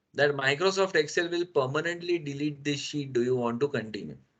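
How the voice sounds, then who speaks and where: A man talks at a fairly quick pace. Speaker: Excel trainer. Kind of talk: lecture. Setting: webinar. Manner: measured pace.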